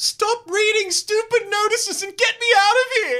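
A put-on character voice at an extremely high pitch delivers its lines at a moderate pace. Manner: impatient, demanding.

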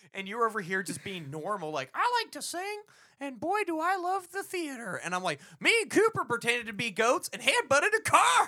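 With an American accent, a man speaks in a raised, projected voice at a fairly quick pace, his pitch extremely high with very wide swings and big swings in loudness. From Texas, later Florida. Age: 20s. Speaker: comedy podcast co-host. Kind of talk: casual chat.

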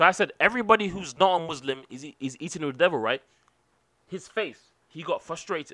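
Speaking fairly quickly with a British accent, a man uses a high, bright, sharp voice, lively intonation and big swings in loudness. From England.

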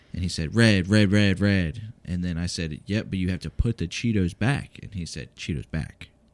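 At a moderate pace with hardly any pauses, the speech shows ordinary pitch variation on a very clean recording with a silent background. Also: man, very deep, low pitch for a man. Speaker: podcast co-host, parent. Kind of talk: casual family chat, taste test.

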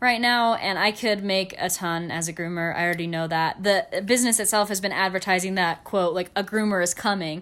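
Speaking at a medium pitch and a fairly quick pace with hardly any pauses, a woman uses an ordinary speaking voice with fairly even intonation, on a very clean recording with a silent background. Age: 20s. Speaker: podcast co-host. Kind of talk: casual chat. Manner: giggly.

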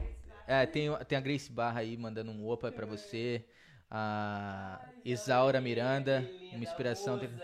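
A man speaks in a normal speaking voice at medium pitch and a moderate pace, with ordinary pitch variation. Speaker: jiu-jitsu practitioner and coach. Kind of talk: casual chat.

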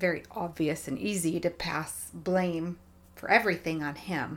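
Intonation stays fairly even as the speech unfolds at a fairly slow speed in a normal speaking voice. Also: woman. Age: 40s. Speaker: guest sharing marriage experience. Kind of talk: casual chat.

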